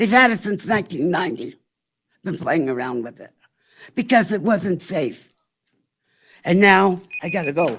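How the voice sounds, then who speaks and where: A woman talks at a fairly slow pace with very wide pitch swings. Her voice has vocal fry. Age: 60s. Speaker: public commenter. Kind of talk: public comment at government meeting. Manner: halting.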